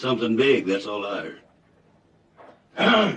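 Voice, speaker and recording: A man talks fairly slowly in a put-on character voice. It is raspy and medium in pitch. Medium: short film. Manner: drawling, ungrammatical.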